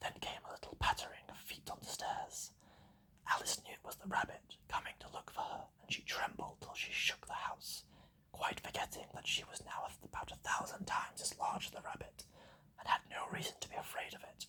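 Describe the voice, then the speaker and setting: A man whispers at a fairly quick pace. His loudness swings widely. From British. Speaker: ASMR artist. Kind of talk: ASMR book reading. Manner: whispered.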